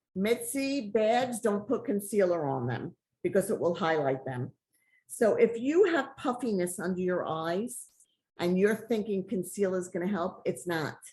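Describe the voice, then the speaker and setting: Somewhat breathy, dark and mellow speech from a woman at medium pitch, moderate in pace, with very wide pitch swings and a quiet background. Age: 60s. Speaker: makeup brand founder. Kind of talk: casual chat. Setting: video call.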